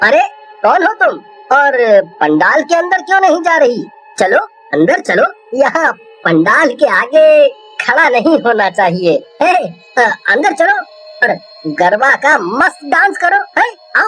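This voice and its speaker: A man puts on a character voice at a fairly slow pace. Faint music plays in the background. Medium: read story. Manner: jovial.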